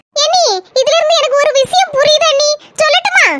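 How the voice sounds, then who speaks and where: In a squeaky, cartoonish character voice at an extremely high pitch, a woman swings her pitch very widely. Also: moderate pace. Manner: chatty, conspiratorial.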